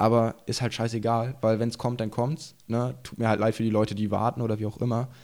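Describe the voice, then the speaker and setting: The delivery is fairly quick and monotone, with flat intonation and hardly any pauses, in a very clean recording with a silent background. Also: man, medium pitch for a man. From eastern Germany, Burg near Magdeburg, Saxony-Anhalt. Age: 20s. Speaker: enduro rider and YouTuber. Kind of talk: casual chat. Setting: studio.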